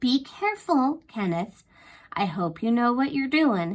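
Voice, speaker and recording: A woman puts on a character voice, high-pitched with very wide pitch swings, at a moderate pace. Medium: read story. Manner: slow, drawling.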